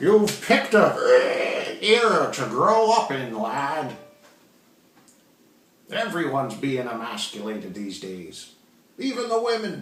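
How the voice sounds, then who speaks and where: In a gravelly put-on character voice, the speaker goes at a fairly slow pace with long, frequent pauses, very wide pitch swings and big swings in loudness, over a slight echo. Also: man, fairly high pitch for a man. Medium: read story. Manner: rambling, pompous.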